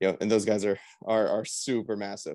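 This man has a plain, everyday voice. He talks at a fairly quick pace. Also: dry, close sound with no echo, quiet background. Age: 20s. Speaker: bodybuilder and federation vice president. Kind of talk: casual interview.

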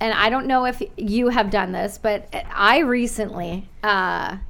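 A woman talks at a fairly slow pace with a fairly bright tone and vocal fry. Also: medium pitch for a woman, ordinary pitch variation.

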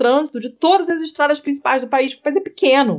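This woman speaks at a very fast pace. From Rio de Janeiro, Brazil. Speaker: podcaster. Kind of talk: casual chat. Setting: remote recording.

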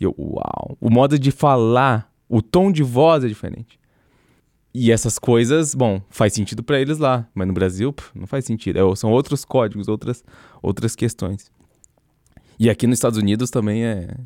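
In a very clean recording with a silent background and a dry, close sound without echo, a man speaks at medium pitch and a moderate pace, his tone dark and mellow and his pitch variation ordinary. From interior of São Paulo state, Brazil. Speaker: podcast co-host. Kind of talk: casual chat. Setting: studio.

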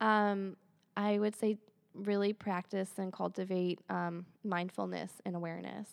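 A woman with a Midwestern American accent talks at a fairly slow pace. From Michigan. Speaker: Ayurveda practitioner and acupuncturist. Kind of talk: interview about wellness.

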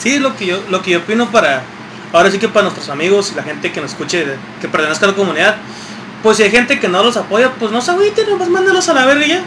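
Over noticeable background noise, a man with a Mexican accent speaks at a very fast pace in a high voice with very wide pitch swings. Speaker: podcast co-host. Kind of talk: casual chat.

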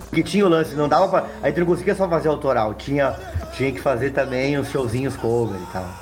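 Over noticeable background noise, the speech moves at a fairly quick pace with lively intonation. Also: man, fairly high pitch for a man. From southern Brazil, Serra Gaúcha. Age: 40s. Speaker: musician. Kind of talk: casual chat.

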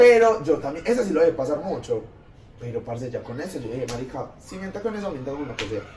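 Over noticeable background noise, a man speaks at a very fast pace in a fairly high pitch. His voice makes very wide pitch swings and big swings in loudness. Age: 20s. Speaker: engineering student. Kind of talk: casual chat.

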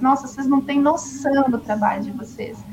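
A woman speaks at a moderate pace in a high voice over noticeable background noise. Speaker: former nun, umbanda follower. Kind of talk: testimony.

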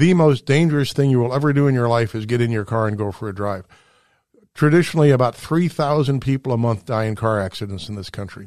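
A man with a medium pitch talks at a fairly quick pace with ordinary pitch variation. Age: 60s. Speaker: radio host. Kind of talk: radio monologue. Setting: studio. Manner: animated.

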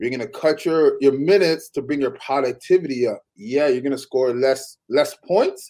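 Speaking at a moderate pace with a Toronto accent, the voice shows ordinary pitch variation and hardly any pauses. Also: man, fairly high pitch for a man. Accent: Toronto Canadian English. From Canada (Toronto). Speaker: former basketball player. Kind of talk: casual chat.

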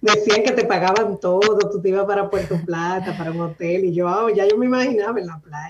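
Against noticeable background noise, a woman with medium pitch speaks at a moderate pace, her pitch varying in an ordinary way. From Dominican Republic, Santo Domingo. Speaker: cloud technology architect. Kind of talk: interview.

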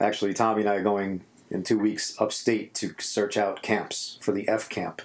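Speaking at a moderate pace with a New York accent, this man has a fairly low pitch and a monotone, flat intonation. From New York City. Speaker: podcast host and musician. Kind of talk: casual interview chat. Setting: home studio in apartment.

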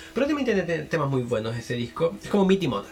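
A man with a Chilean accent at a very fast pace, over noticeable background noise. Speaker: podcast host and music reviewer. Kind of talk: solo album review monologue. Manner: casual, hesitant with fillers.

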